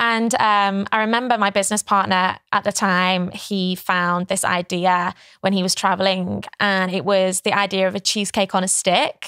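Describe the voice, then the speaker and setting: Woman with an English accent, bright and sharp in tone, at a moderate pace with monotone, flat intonation, very even loudness, hardly any pauses, a quiet background and a dry sound with no echo. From England. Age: 20s. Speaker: pageant winner and entrepreneur; podcast guest. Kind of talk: interview. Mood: relaxed, friendly. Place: studio. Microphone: studio mic.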